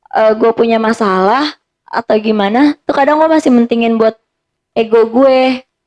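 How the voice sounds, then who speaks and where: A woman with an unremarkable speaking voice talks at a moderate pace in a fairly high pitch, with ordinary pitch variation, very even loudness, and a dry, close sound with no echo. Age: 20s. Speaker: psychology student and karate athlete. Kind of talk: casual chat.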